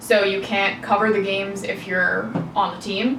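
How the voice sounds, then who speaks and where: With noticeable background noise and audible room echo, a woman in an American accent speaks at a fairly slow pace and a medium pitch. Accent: New York accent, comes out now and again. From New York. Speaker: powerlifter and social media marketer. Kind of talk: casual podcast chat.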